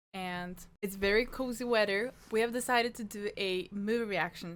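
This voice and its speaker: With a Norwegian accent, a woman talks at a moderate pace in a fairly high pitch with ordinary pitch variation, on a very clean recording with a silent background. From Norway. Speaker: movie reaction youtuber. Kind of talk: casual vlog intro.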